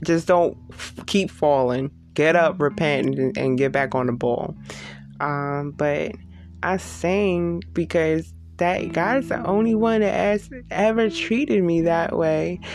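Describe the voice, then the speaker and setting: The speech is very slow, with very wide pitch swings and very even loudness. Music plays in the background. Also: woman, very deep, low pitch for a woman. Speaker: podcast host. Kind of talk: personal reflective monologue. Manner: casual, conversational, confessional.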